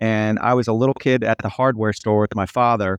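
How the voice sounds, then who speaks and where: Here is a man with a US Midwestern accent and a fairly low pitch. The sound is dry and close with no echo, and the background is quiet. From US Midwest, Cincinnati, Ohio. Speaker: bass player and music producer. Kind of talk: interview conversation. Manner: animated.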